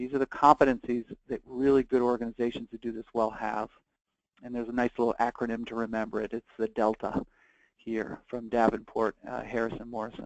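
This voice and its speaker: Dry and close with no echo, the recording captures a man at a medium pitch. He talks at a fairly quick pace. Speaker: webinar presenter on behavioral health. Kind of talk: webinar presentation. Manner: fast.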